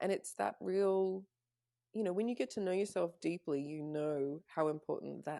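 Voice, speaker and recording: Dark and mellow in tone, a woman speaks at a fairly low pitch with ordinary pitch variation. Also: moderate pace. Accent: Australian. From Canada and Australia. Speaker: spiritual mentor. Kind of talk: casual chat.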